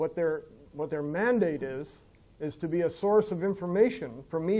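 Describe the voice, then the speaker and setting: Here is a man with an Ontario accent and a high voice, dark and mellow in tone. He keeps a moderate pace with ordinary pitch variation. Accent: Canadian English, rural Ontario. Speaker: farmer and landowner association president. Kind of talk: seminar Q&A discussion. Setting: seminar with audience. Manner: mumbling; halting, many fillers.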